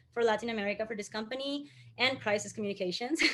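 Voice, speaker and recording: A woman is talking with a Colombian accent. Her pitch varies in an ordinary way. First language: Spanish. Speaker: communications professional. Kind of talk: panel discussion.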